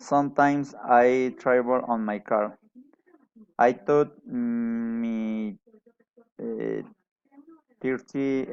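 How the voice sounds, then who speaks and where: A man with a Colombian accent, medium in pitch, at a very slow pace with fairly even intonation. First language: Spanish. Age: 40s. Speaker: adult English student. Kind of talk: class presentation. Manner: halting, with many hesitations.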